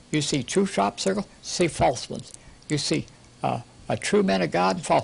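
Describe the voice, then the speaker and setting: A man speaks with very wide pitch swings and vocal fry. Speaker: preacher. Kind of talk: sermon. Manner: fast; animated.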